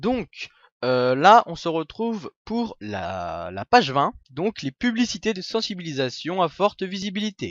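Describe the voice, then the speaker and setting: Very slow delivery with very wide pitch swings and big swings in loudness. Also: man, high pitch for a man. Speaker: gaming YouTuber. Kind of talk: screen-recorded tutorial. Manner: hesitant, many fillers.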